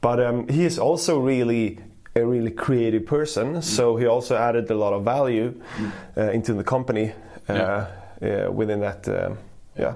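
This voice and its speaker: Amid audible room echo, a man with a dark, mellow tone talks at a moderate pace, pausing often and at length. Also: medium pitch for a man, ordinary pitch variation. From Switzerland then Sweden. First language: Swedish and Swiss German. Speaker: e-commerce founder. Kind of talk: interview. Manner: hesitant, many fillers.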